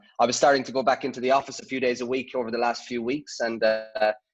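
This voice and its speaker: With music in the background, a man with an Irish accent speaks very fast at a medium pitch in a monotone, flat intonation. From Ireland (Dublin). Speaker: sports analytics head. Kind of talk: interview. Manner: hesitant, many fillers.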